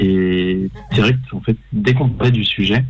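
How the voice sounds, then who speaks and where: The man's voice sits at a fairly low pitch. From Paris suburbs, France. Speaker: short film director. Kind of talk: radio interview.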